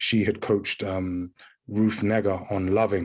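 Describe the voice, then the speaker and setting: Over a quiet background, a man with a British accent speaks at a fairly low pitch in a monotone, flat intonation. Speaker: actor. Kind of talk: interview. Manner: halting, many repeated words.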